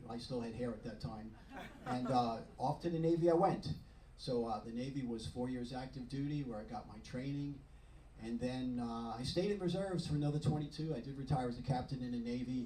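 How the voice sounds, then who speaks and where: A man with a Long Island accent at medium pitch, very fast pace, ordinary pitch variation, audible room echo and noticeable background noise. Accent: New York (Long Island). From Long Island, New York. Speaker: retired dentist and club member. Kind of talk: club talk. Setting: club meeting at a yacht club. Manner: casual, joking.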